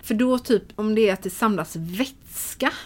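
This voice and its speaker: Talking at a fairly slow pace, a woman uses a medium pitch. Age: 30s. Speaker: shop owner. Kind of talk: casual interview. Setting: in a shop.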